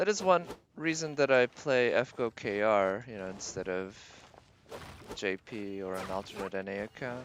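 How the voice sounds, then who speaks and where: With an American accent, a man of medium pitch speaks at a moderate pace, his intonation lively and his loudness swinging widely. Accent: American, slightly Bostonian. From Boston, US East Coast. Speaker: video game streamer. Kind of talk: live gameplay stream chat.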